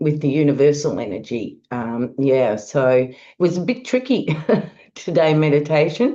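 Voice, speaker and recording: The voice carries an Australian accent and a dark, mellow tone with lively intonation. Delivery is at a fairly slow pace over a quiet background. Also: woman. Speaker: astrologer. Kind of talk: monologue forecast.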